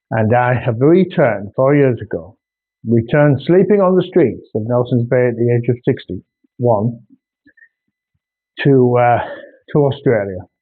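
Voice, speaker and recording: In a North Yorkshire accent, the speaker goes at a fairly slow pace with long, frequent pauses and lively intonation. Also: man, medium pitch for a man. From northern England, North Yorkshire. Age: 60s. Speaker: artist. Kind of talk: casual video monologue.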